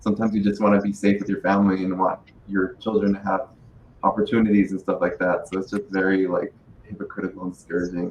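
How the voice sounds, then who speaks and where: This man speaks very fast at a fairly low pitch, his intonation monotone and flat. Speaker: podcast panelist. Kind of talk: panel discussion. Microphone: muffled, not projecting into mic.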